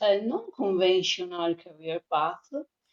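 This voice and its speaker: A woman speaks with an Italian accent. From Italy. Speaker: freelance conversation designer. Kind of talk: podcast interview. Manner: halting, many fillers.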